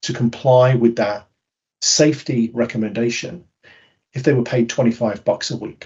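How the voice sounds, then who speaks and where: With a British accent, a man speaks at a fairly slow pace in a somewhat breathy voice. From Britain. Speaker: behavioural science speaker. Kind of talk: webinar talk. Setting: webinar.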